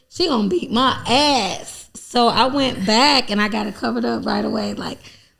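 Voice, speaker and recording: Moderate pace from a woman in an American accent, noticeable background noise and audible room echo around her. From Chicago, Englewood. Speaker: comedian. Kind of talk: casual chat. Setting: studio.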